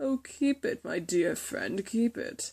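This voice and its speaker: A woman's fairly high-pitched, put-on character voice at a fairly slow pace. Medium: read story. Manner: smooth, sly, self-assured.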